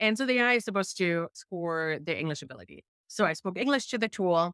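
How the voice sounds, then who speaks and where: Speaking very fast in a strong German accent, a woman uses lively intonation at a medium pitch, with a dry, close sound and no echo. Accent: thick German. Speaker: investigative journalist. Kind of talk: interview.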